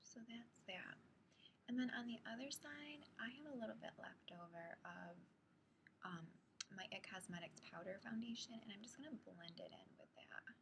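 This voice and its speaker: Soft-spoken and pitched fairly high, a woman talks at a moderate pace with lively intonation and some vocal fry. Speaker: beauty vlogger. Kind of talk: makeup tutorial talk to camera. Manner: soft-spoken, quiet.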